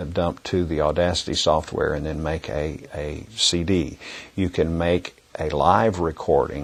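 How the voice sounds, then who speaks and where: This man's voice is very deep and low in pitch, delivered in a monotone with flat intonation. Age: 60s. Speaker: music education trainer. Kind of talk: instructional talk to teachers. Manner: halting, many fillers and repetitions.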